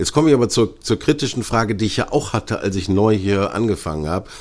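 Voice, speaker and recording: The recording is very clean with a silent background as a man speaks at a fairly low pitch. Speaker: podcast host. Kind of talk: interview.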